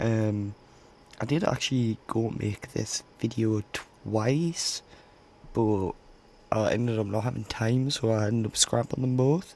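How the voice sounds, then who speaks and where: Over noticeable background noise, a man speaks at a fairly slow pace with very even loudness and ordinary pitch variation. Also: medium pitch for a man. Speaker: gaming YouTuber. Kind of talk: gameplay commentary. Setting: home recording late at night. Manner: casual, halting with fillers; quiet.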